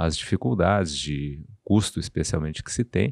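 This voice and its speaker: A man talks at a moderate pace against a quiet background, the sound dry and close with no echo. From southern Brazil, Porto Alegre. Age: 60s. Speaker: surgeon. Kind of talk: podcast interview.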